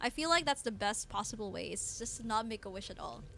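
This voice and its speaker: At a fairly quick pace, a woman with a fairly high pitch, bright, sharp tone and vocal fry speaks with ordinary pitch variation. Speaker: game streamer. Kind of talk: live gameplay stream commentary. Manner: casual, hesitant with many fillers.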